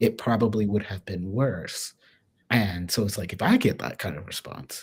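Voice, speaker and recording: A soft-spoken voice with an American accent moves at a moderate pace. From US Midwest, small-town Ohio. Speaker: swing dancer. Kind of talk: casual interview conversation. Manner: soft-spoken and quiet.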